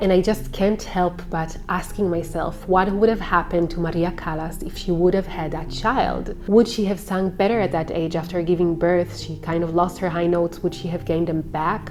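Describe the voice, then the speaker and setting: Amid noticeable background noise, a woman with a fairly low pitch talks at a moderate pace, hardly pausing, with fairly even intonation. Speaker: opera singer. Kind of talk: personal vlog monologue.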